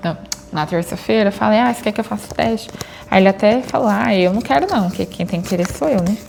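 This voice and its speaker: Noticeable background noise sits behind a woman who talks at a very fast pace. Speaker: vlogger. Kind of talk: casual vlog chat. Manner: chatty.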